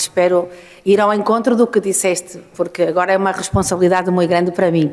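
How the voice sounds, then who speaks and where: A woman with a fairly low pitch and a normal speaking voice. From northern Portugal. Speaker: urban mobility engineer and consultant. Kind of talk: conference talk.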